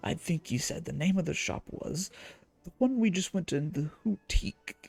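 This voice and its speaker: Over music in the background, a put-on character voice at a middle pitch moves at a moderate pace. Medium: game stream. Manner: chatty, cheeky, dialect-heavy.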